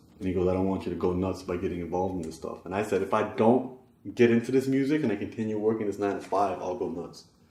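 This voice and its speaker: A man with a Canadian accent talks very fast in a fairly low voice with ordinary pitch variation. Audible room echo surrounds him. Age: 30s. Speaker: rapper and spoken-word artist. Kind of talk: documentary interview.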